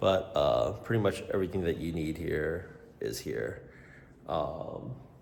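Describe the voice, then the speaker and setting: A man speaks with an American accent. Audible room echo and noticeable background noise surround his voice. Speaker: career coach and vlogger. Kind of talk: casual vlog tour. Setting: walking through apartment building. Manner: casual, filler-heavy.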